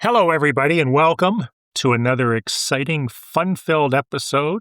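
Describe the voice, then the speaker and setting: Recorded very clean against a silent background, with a dry, close sound and no echo, a man with a Maritime Canadian accent speaks with lively intonation. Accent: Canadian (Maritimes). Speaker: real estate agent and show host. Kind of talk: casual podcast chat. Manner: calm.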